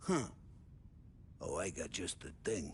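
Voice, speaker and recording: Over clear background noise, a man uses a raspy, put-on character voice. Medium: video game. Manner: loud, jokey.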